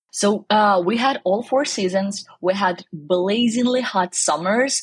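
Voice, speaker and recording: A woman speaks at a medium pitch with lively intonation and a somewhat breathy voice, in a dry, close sound with no echo. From southern Ukraine. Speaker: cookbook author. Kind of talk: interview.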